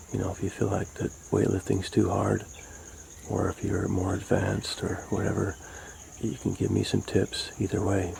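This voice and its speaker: A man whispers at a moderate speed, pausing long and often, with noticeable background noise behind him. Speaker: home fitness vlogger. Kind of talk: casual talk to camera. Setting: outdoors. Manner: whispered.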